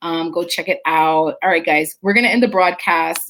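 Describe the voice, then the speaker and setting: A woman with a Jamaican accent, fairly low in pitch, with fairly even intonation at a moderate pace. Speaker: nutritionist and wellness show host. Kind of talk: live stream chat reading viewer comments. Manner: playful.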